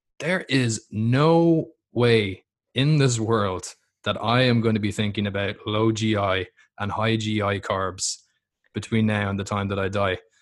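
This man has a fairly low pitch and an Irish accent, speaking fairly slowly with ordinary pitch variation. The recording is very clean, with a silent background. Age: 20s. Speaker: fitness coach and podcast host. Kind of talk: casual interview.

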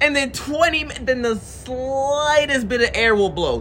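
Amid noticeable background noise, a man speaks with an extremely high pitch and an animated tone. His pace is fairly slow. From Jamaica. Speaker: podcast guest. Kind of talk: casual chat.

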